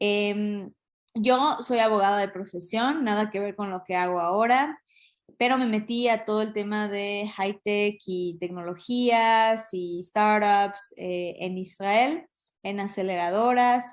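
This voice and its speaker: Over a quiet background, a woman with a Mexican accent and a medium pitch talks at a very slow pace with ordinary pitch variation. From Mexico. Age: 30s. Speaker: lawyer and business development specialist. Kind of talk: talk to an audience. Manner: hesitant, many fillers.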